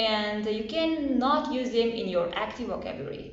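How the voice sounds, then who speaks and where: A woman talks at a fairly high pitch in a Tajik accent. Her voice carries audible room echo, with music in the background. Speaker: English learning vlogger. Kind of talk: casual tutorial.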